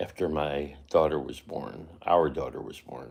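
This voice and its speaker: A man speaks with an American accent and vocal fry. His pace is fairly slow. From New York. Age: 70s. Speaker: vlogger. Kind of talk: casual vlog. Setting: at home. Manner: halting.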